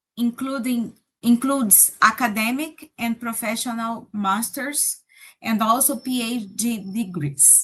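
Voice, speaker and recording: A woman speaks at a very slow pace with a Brazilian Portuguese accent. Her pitch is fairly high, with ordinary variation. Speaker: professor. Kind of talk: presentation. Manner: halting.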